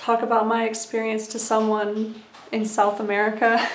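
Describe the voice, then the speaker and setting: A woman talks at a moderate pace in a fairly high pitch. Audible room echo and noticeable background noise run through the clip. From USA (military family, born in West Germany). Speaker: YouTuber sharing personal recovery journey. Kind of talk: casual vlog monologue. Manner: conversational with frequent fillers.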